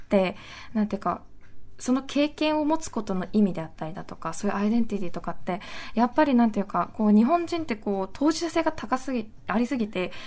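The voice races at a very fast pace with very wide pitch swings. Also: woman. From Nagasaki, Japan. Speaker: anti-nuclear activist. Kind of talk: interview.

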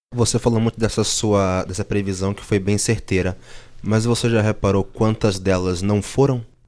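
A man speaks in monotone, flat intonation at a fairly low pitch. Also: moderate pace, very clean recording, silent background. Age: 20s. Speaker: journalism student, skeptic. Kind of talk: debate on a student radio show.

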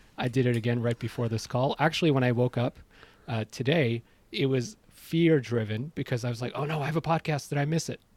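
An ordinary speaking voice from a man with a Canadian accent, medium pitch, ordinary pitch variation and a fairly quick pace. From Iran, moved to Canada as a child. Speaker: podcaster. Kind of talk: casual chat. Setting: remote call from home study.

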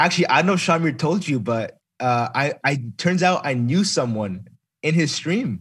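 On a very clean recording with a silent background, a man with an American accent speaks at a moderate pace and fairly high pitch, his pitch swinging very widely while his loudness stays very even. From US Midwest. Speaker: gamer and streamer. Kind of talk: casual interview chat.

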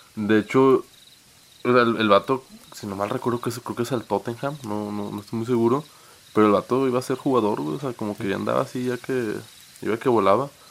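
Through noticeable background noise, a man talks at a fairly quick pace in a medium pitch with fairly even intonation. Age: 20s. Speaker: podcast co-host. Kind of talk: casual chat.

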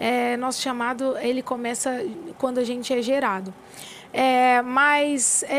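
A woman is speaking. Her voice is high-pitched. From São Paulo state interior, Brazil. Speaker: gospel singer. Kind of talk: casual interview chat.

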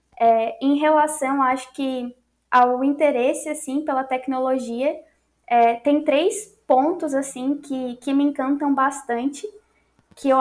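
The woman's voice is high-pitched. Her intonation stays fairly even. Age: 20s. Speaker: computer science student and front-end developer. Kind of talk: interview.

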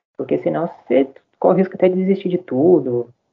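A man speaks at a fairly quick pace with an unremarkable speaking voice. His intonation is lively. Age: 20s. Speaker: journalism graduate. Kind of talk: casual chat.

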